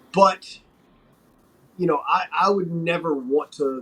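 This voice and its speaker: Speaking with a Southern US accent, a man talks at a very slow pace. His pitch is high. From North Carolina, Wilmington. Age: 40s. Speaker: pro wrestler. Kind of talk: interview.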